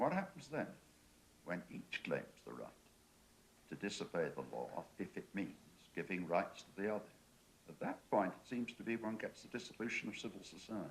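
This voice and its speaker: A man speaks with an English accent at a moderate pace. He takes long, frequent pauses. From England. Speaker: panel discussant. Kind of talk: panel debate.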